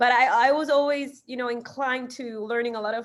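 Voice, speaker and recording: A woman's high pitch with a Spanish accent and fairly even intonation. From Ecuador, Guayaquil. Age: 20s. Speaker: singer and marketer. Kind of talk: interview. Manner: halting.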